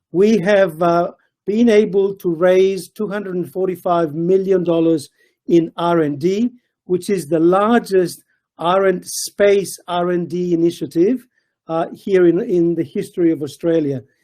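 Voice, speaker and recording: A man's high-pitched voice with a dark, mellow tone and fairly even intonation. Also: fairly slow pace. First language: not Italian; speaks Italian poorly. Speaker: research centre CEO. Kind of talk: webinar presentation.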